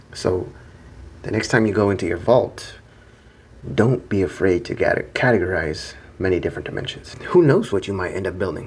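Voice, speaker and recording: A soft-spoken man at a fairly low pitch and moderate pace, with long, frequent pauses. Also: ordinary pitch variation. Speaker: self-improvement video creator. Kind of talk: monologue to camera. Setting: hotel room.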